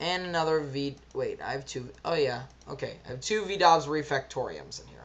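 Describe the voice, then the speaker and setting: A woman is heard with audible room echo. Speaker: card game deck reviewer. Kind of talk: gameplay tutorial.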